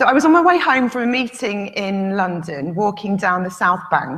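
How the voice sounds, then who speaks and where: A woman speaks with a northern English accent at medium pitch. Her intonation is lively. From northern England. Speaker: conference speaker. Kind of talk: conference talk. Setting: stage with audience.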